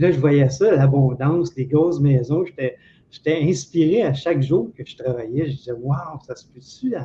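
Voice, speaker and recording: A man with a Quebec accent, fairly high in pitch with a dark, mellow tone, somewhat breathy, with ordinary pitch variation, big swings in loudness and a moderate pace. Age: 60s. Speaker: former telephone technician. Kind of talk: interview.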